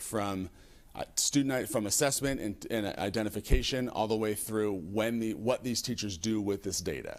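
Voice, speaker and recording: This man's voice sits at a medium pitch with ordinary pitch variation. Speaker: school administrator. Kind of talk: presentation at a school board meeting. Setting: hybrid public board meeting. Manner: fast; halting, with frequent self-corrections.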